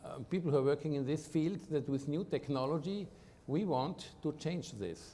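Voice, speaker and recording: A man speaks in an Austrian accent at a fairly high pitch with a dark, mellow tone. His pace is fairly slow and his pitch variation is ordinary. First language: German. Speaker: medical researcher, professor. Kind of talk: interview. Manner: halting.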